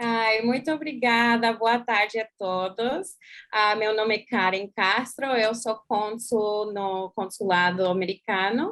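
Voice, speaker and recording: In an English accent, a woman speaks very slowly at a fairly high pitch with ordinary pitch variation. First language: English (speaking Portuguese). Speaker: consular official. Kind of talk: presentation.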